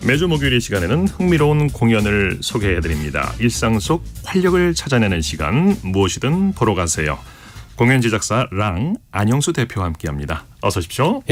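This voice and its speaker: A man talks at an average speed over background music. His voice rises and falls across a very wide range. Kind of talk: radio host, formal. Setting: radio. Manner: imposing, charismatic.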